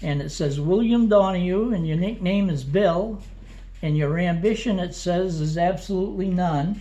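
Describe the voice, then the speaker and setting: Amid audible room echo, a man speaks at a moderate pace with a high pitch and ordinary pitch variation. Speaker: oral history interviewer. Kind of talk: oral history interview. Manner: halting, hesitant.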